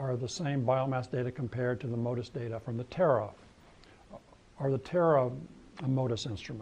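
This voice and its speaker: Somewhat breathy, a man speaks at a fairly quick pace. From New Mexico. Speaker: scientist. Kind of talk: lecture. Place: hall.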